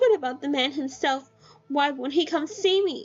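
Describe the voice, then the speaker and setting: Faint music plays in the background while a woman uses a put-on character voice. Her pitch is high and her pace moderate. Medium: read story. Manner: anguished, lovesick, resentful.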